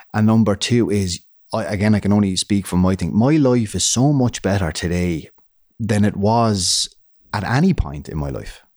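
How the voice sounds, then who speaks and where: A man speaks in a fairly low pitch with a Waterford Irish accent. His pitch varies in an ordinary way. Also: moderate pace. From Ireland, Waterford. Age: 30s. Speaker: comedian and actor. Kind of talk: interview, personal testimony. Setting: studio.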